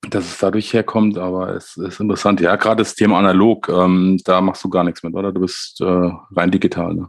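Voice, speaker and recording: Monotone, flat intonation in a man's very deep, low-pitched voice. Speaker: podcast host. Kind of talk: casual chat. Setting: video call. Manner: halting, many fillers.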